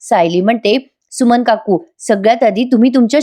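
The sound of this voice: The background stays quiet while an unforced reading voice shows ordinary pitch variation.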